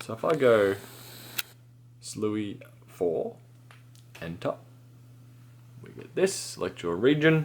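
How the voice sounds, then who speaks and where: A man with an Australian accent speaks at medium pitch and a very slow pace, pausing long and often. His pitch swings very widely and his loudness shifts a lot. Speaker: tech repair youtuber. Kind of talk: tutorial. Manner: casual.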